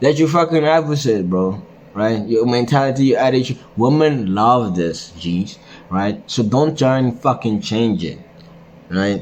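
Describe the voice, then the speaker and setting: A man with a normal speaking voice and medium pitch moves at a fairly slow pace with lively intonation. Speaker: men's self-improvement vlogger. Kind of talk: casual monologue vlog. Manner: casual, filler-heavy slangy talk.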